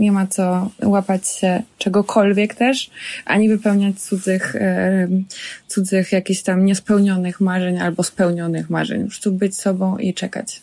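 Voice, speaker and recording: A woman with a medium-pitched, somewhat breathy voice and a dark, mellow tone speaks at a fairly slow pace in a monotone with flat intonation. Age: 30s. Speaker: chef and restaurant owner. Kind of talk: casual interview. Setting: outdoors in a forest.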